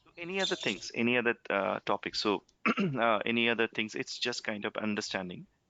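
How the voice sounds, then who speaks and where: A man's medium-pitched voice with a Bengali accent, lively intonation and big swings in loudness. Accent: Bengali accent, noticeable. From India, West Bengal. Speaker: software trainer. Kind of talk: online demo class Q&A. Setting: recorded online conference call. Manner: halting, many fillers.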